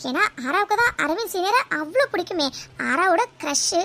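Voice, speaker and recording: A woman does a cartoonish character voice at an extremely high pitch with very wide pitch swings. Her pace is moderate. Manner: teasing.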